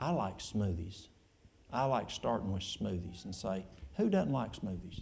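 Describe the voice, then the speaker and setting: Speaking at a moderate pace, a man has a dark, mellow tone that is somewhat breathy. His pitch makes very wide swings. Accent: East Tennessee. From East Tennessee, Appalachia. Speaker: church elder and health food store owner. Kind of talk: question and answer session. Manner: casual, folksy.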